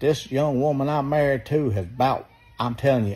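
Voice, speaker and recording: A man speaks with a somewhat breathy voice. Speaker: vacation vlogger. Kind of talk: casual vlog chat. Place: home room. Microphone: phone near.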